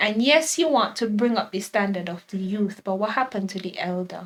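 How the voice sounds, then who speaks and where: In a Kittitian accent, a woman speaks at a moderate pace with ordinary pitch variation. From St. Kitts and Nevis. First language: Kittitian Creole. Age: 20s. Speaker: teacher and blogger. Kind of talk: casual chat.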